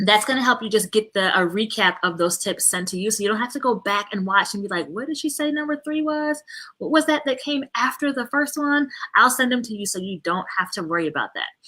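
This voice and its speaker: Bright and sharp in tone, a woman speaks with lively intonation at a fairly quick pace. Her pitch is fairly high. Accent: American. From New York. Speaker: parenting coach. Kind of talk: live video training. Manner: fast; animated.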